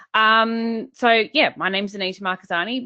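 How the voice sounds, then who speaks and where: Spoken at a moderate pace with an Australian accent. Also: woman. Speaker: business coach. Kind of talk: webinar presentation. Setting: online webinar.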